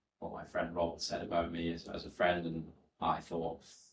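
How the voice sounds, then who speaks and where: This man has a very deep, low pitch and a bright, sharp tone, and he speaks with a Welsh accent. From Wales, West Wales (Aberaeron). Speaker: former solicitor, education entrepreneur. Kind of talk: podcast interview.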